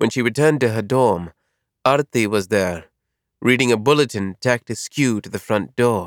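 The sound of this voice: Against a quiet background, an unforced reading voice moves through ordinary pitch variation.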